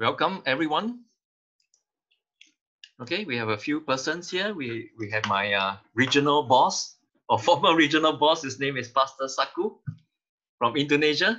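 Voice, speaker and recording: A man at a moderate pace with long, frequent pauses, lively intonation and a bright, sharp tone, over a quiet background. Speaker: online lecture host. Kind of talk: casual meeting host talk. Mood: friendly, welcoming. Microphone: video call.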